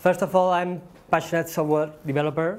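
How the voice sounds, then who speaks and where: A man with a Spanish accent. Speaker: software developer and conference speaker. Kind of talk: conference talk. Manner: halting, many fillers.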